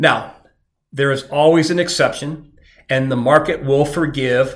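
The speech is delivered at a medium speed with fairly flat intonation. It is a plain, everyday voice. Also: man. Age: 50s. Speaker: recruiter and podcast host. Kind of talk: solo advice podcast monologue.

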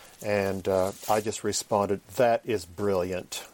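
A man with an unremarkable speaking voice talks fairly slowly and fairly low, with fairly even intonation, in a very clean, dry, close recording with no echo and a silent background. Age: 50s. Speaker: professor and preacher. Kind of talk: interview.

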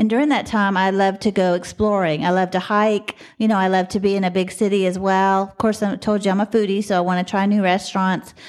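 A woman's medium-pitched voice with an American accent, very fast and with hardly any pauses, at a very even loudness. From Texas, Dallas. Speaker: podcast host and box truck driver. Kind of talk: casual monologue. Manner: animated.

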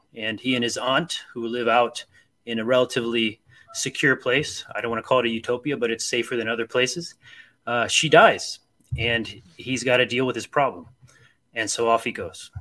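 With a Midwestern American accent, this bright, sharp voice moves at a fairly quick pace with fairly even intonation. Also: man. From US Midwest, Akron, Ohio. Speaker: author and librarian. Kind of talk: casual chat.

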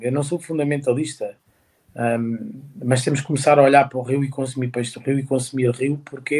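A man talks at a moderate pace and medium pitch, his intonation monotone and flat. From Portugal, Santarém. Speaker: chef. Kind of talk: interview. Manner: halting, many repetitions.

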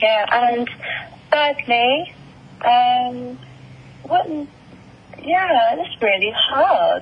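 Someone with an Essex accent talks at a very slow pace with lively intonation and long, frequent pauses, against noticeable background noise. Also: woman, high pitch for a woman. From England, Essex. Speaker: singer-songwriter. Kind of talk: interview. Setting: phone call.

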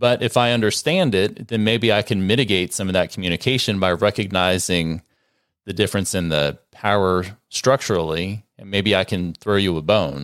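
The recording is very clean, with a silent background, and a man talks at a moderate pace with a plain, everyday voice. His pitch sits fairly low and varies in an ordinary way. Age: 50s. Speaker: family lawyer and podcast co-host. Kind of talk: casual advice discussion.

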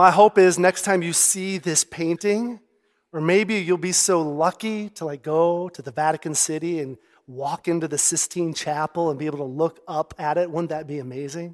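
The recording is very clean, with a silent background and a dry, close sound free of echo. A man with a high pitch speaks at a moderate pace, using ordinary pitch variation. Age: 40s. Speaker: pastor. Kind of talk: sermon. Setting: church service with audience. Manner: conversational.

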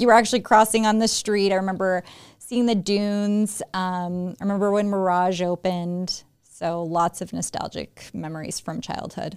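On a very clean recording with a silent background, a woman with an American accent and a normal speaking voice talks at a medium pitch and moderate pace, with fairly even intonation and hardly any pauses. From Las Vegas, Nevada. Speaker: real estate agent and podcast co-host. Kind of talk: casual chat.

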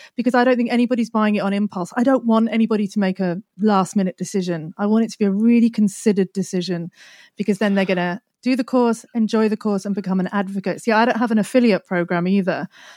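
Very fast and fairly even in intonation, a woman speaks at a medium pitch with a dark, mellow tone in a very clean, dry, close recording with no echo and a silent background. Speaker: SEO expert and course creator. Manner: fast talker; brusque, dark humor.

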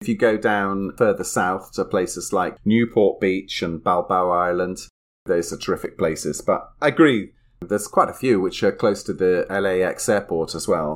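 A man speaks at a moderate pace in a fairly low pitch with ordinary pitch variation, captured on a very clean recording with a silent background. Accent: British. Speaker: podcast co-host. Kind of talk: casual chat.

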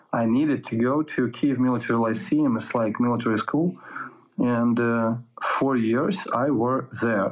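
A man with a Russian accent at a very slow pace. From Ukraine. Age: 30s. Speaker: soldier. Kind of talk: interview. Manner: halting; profane.

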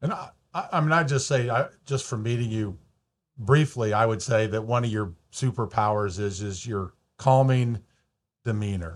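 On a very clean recording with a silent background, a man with a normal speaking voice talks at a medium pitch and a moderate pace with ordinary pitch variation. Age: 60s. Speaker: mortgage broker and podcast host. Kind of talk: interview. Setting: studio.

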